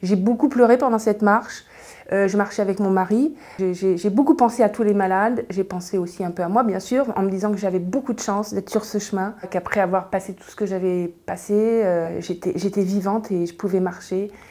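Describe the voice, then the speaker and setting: A woman speaks at a fairly quick pace. Her pitch is medium with ordinary variation. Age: 60s. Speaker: cancer patient. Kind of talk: testimony. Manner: halting.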